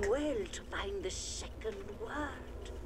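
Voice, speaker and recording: A put-on character voice at an extremely high pitch over loud background noise. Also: fairly slow pace. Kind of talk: video game fantasy voice acting. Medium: machinima. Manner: slow, solemn, portentous.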